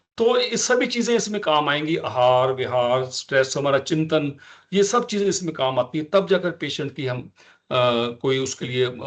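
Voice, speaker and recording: A man's voice with lively intonation. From Punjab, India. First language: Punjabi (speaking Hindi). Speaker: ayurvedic physician. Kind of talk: lecture. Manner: halting, with frequent fillers.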